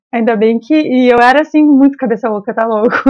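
A woman speaks fairly quickly with ordinary pitch variation. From Rio Grande do Sul interior, Brazil. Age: 30s. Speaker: football fan, podcast guest. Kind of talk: casual chat. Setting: podcast interview. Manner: animated.

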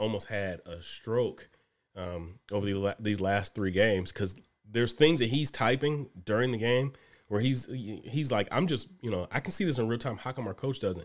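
On a very clean recording with a silent background, a man with an unremarkable speaking voice talks at a moderate pace with medium pitch and ordinary pitch variation. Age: 30s. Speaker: podcast co-host. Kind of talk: casual chat.

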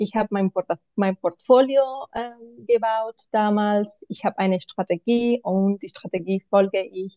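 A woman's medium-pitched voice, fairly slow in pace, with ordinary pitch variation. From Spain, Barcelona. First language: Spanish or Catalan (speaking German). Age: 30s. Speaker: mentoring client, single mother. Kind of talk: interview answers. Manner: halting, many fillers.

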